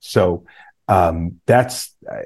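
Over a quiet background, a man with an American accent speaks in a dark, mellow tone. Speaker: podcast host. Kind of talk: casual interview chat.

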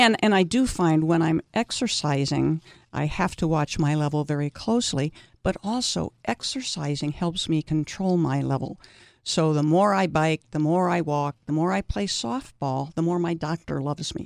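On a very clean recording with a silent background and a dry, close sound with no echo, a woman speaks at a moderate pace with a very deep, low pitch and lively intonation. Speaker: senior softball player. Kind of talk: interview.

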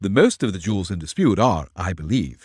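A man's put-on character voice, low-pitched with big pitch swings, a slightly husky edge and a slightly mellow tone, at a fairly quick pace, in a very clean, dry, close recording with no echo and a silent background

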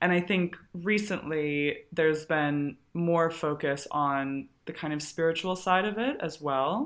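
A woman with an American accent and a normal speaking voice, fairly low in pitch with ordinary pitch variation, at a fairly slow pace on a very clean recording with a silent background. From Colorado. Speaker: wellbeing educator and yoga teacher. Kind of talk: guided instruction; casual interview chat.

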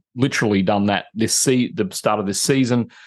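A man with an Australian accent speaks in a fairly low pitch. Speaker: retired software engineering executive living on a boat. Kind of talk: casual interview chat.

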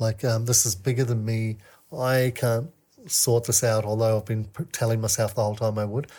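A man's somewhat breathy, dark and mellow voice at medium pitch, with a slight Australian accent, a moderate pace and fairly even intonation, on a very clean recording with a silent background. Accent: somewhat Australian-sounding. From New Zealand. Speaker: men's mentor and coach. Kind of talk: casual interview chat.

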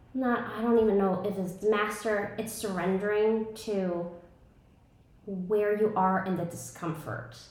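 Over noticeable background noise, a woman with an American accent talks at a fairly slow pace, her medium pitch kept to fairly even intonation. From New York, Brooklyn. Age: 30s. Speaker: breathwork and ice bath facilitator. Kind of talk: casual interview.

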